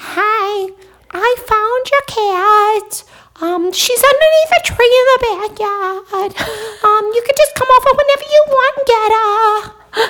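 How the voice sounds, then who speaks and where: A female-sounding, put-on character voice at an extremely high pitch, delivered at a very slow pace. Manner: overly casual, chatty.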